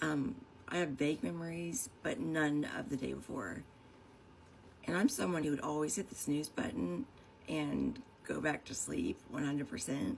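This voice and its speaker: A woman talks at a moderate pace in a very deep, low pitch with vocal fry. Her pitch swings are very wide. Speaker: vlogger sharing personal story. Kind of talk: personal testimony monologue. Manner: rambling, hesitant.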